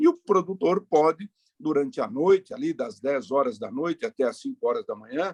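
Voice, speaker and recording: Recorded dry and close with no echo, a man speaks high-pitched with very wide pitch swings. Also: moderate pace. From Brazil, Paraná (north, rural). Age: 60s. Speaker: politician. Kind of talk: interview.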